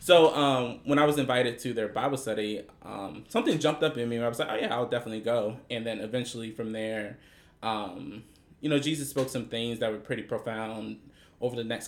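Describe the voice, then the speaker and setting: A man with an unremarkable speaking voice talks at a fairly quick pace, with medium pitch and ordinary pitch variation. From Prince George's County, Maryland, US. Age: 20s. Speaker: retail worker. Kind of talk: casual chat.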